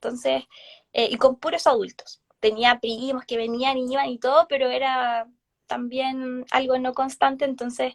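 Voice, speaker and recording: Her voice is high-pitched, with fairly even intonation and a dry, close sound with no echo. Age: 30s. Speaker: therapist and tarot reader. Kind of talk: casual interview chat. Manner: hesitant, many fillers.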